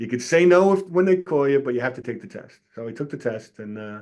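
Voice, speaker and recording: Lively intonation and a very fast pace mark this voice with a New York accent. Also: man. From New York City, Staten Island. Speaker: retired fire captain and author. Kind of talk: casual interview. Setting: podcast interview.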